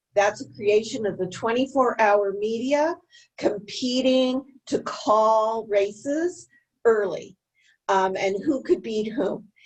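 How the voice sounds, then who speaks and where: Her voice sits fairly high, its pitch moving in a normal way. This woman talks very slowly. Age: 60s. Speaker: gun control advocate. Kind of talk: panel discussion remarks.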